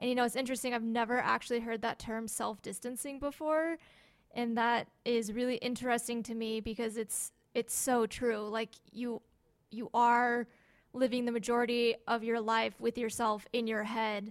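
Her pitch fairly high, a woman speaks at a moderate pace in a monotone, flat intonation. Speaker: podcast co-host. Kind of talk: casual chat.

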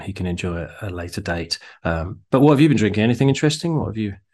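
Talking at a very fast pace, a man uses a British accent and lively intonation. His pitch is fairly low, and the background is quiet. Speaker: podcast host. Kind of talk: casual chat. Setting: video call. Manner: joking, chatty.

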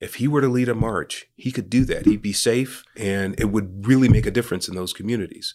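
In a very clean recording with a silent background, a man with a Californian accent talks at a fairly quick pace with hardly any pauses, his medium pitch showing ordinary variation. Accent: Californian American English. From San Francisco, Northern California. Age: 50s. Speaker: nonprofit founder. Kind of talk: interview.

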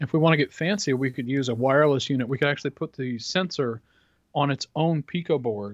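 Against a quiet background, a man with an ordinary speaking voice talks at a fairly quick pace, his pitch fairly high and his pitch variation ordinary. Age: 40s. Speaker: podcast co-host. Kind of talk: casual chat.

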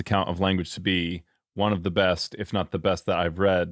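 A man speaks fairly slowly with a normal speaking voice. His pitch is fairly low and his intonation fairly even. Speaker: podcast host. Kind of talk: interview.

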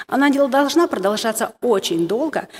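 Lively intonation carries this voice along at a fairly slow pace. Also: woman. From Moldova. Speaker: women's ministry speaker. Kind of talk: sermon. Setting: stage with audience. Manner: halting.

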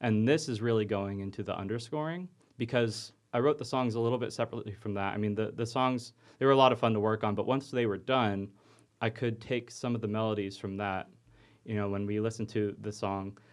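A man's normal speaking voice at medium pitch, at a fairly quick pace, over a quiet background. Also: fairly even intonation. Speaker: music composition student and composer. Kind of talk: casual interview.

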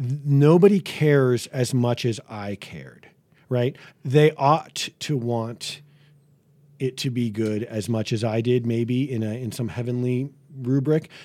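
In a very clean recording with a silent background, a man with an American accent and a dark, mellow tone speaks at a fairly slow pace and a medium pitch, with ordinary pitch variation. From New England (Boston area). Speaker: pastor. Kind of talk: interview conversation.

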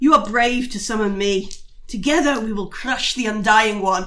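A female-sounding voice performs a put-on character at a fairly high pitch. The pace is moderate, with light background noise. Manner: ominous.

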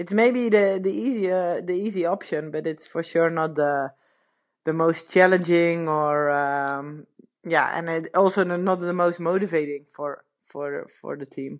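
A woman with a Dutch accent speaks at a fairly slow pace and a fairly low pitch. Her pitch variation is ordinary, and the background is quiet. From Netherlands. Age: 30s. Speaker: retired pro cyclist. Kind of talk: casual interview. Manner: halting, many fillers.

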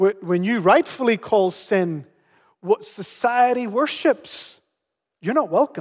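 A man with a Northern Irish accent, high pitch, lively intonation and very slow pace, in a dry, close sound with no echo. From Canary Islands, Spain, then Northern Ireland from 13. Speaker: pastor. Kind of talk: sermon.

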